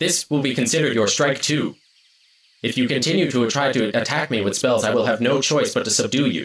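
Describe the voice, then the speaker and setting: At a fairly quick pace, a man speaks in a put-on character voice at a medium pitch. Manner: flat, mechanical, commanding.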